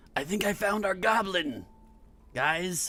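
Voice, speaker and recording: Using a put-on character voice, a man with a high pitch projects a raised, raspy voice at a fairly slow pace with ordinary pitch variation. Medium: actual play. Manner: raised voice.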